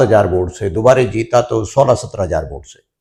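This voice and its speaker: A man speaks with vocal fry. His pace is moderate. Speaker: politician. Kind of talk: interview. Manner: hesitant with frequent fillers.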